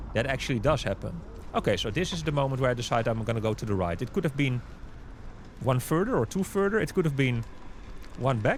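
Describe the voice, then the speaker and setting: Speaking at a very fast pace with long, frequent pauses, a man with a Dutch accent uses a medium pitch, lively intonation and vocal fry. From Amsterdam, Netherlands. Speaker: YouTuber and local city guide. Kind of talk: casual narration over cycling footage. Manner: casual, conversational.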